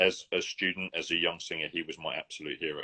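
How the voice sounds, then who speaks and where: A man speaks with an English accent. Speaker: opera singer. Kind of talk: interview. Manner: fast; halting.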